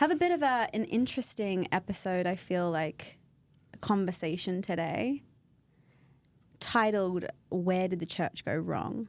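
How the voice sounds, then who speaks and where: Speaking with an Australian accent at a medium pitch, a woman uses lively intonation at a fairly slow pace with long, frequent pauses, in a very clean recording with a silent background. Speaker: podcast co-host, pregnancy support worker. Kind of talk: casual chat. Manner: talkative.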